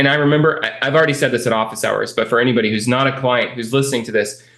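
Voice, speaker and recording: With ordinary pitch variation, this man's voice stays at a medium pitch. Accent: Californian. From California. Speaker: real estate investing coach, interview host. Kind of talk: client success interview. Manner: animated.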